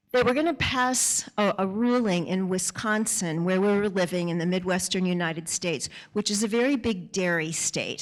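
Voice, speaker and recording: An unremarkable speaking voice, this woman talks at a moderate pace and medium pitch with ordinary pitch variation and an American accent. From US. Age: 60s. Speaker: author and speaker. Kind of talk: talk to an audience. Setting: stage with audience.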